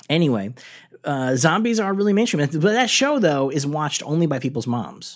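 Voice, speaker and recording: At a moderate pace, a man speaks at a fairly high pitch with very wide pitch swings. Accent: American. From New York City. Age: 40s. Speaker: podcast host. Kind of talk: casual chat.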